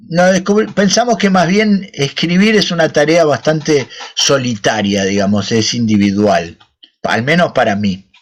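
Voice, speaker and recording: Loudness stays very even as a man speaks at a fairly slow pace in a fairly high pitch with very wide pitch swings. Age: 60s. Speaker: children's book author. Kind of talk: Q&A with school children. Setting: video call. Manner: casual, friendly.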